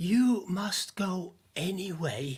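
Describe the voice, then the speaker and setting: A man puts on a character voice, pitched high for a man, with ordinary pitch variation. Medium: stage play.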